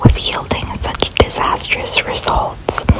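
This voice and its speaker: The speaker is whispering. Noticeable background noise is present. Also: woman. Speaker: ASMR creator. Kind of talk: ASMR makeup voiceover. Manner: whispered.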